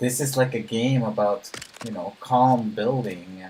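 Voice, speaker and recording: This man talks softly at a fairly slow pace, his pitch medium. His intonation stays fairly even. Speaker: gaming streamer. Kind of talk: live stream chat while gaming. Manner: slow, calm; soft-spoken.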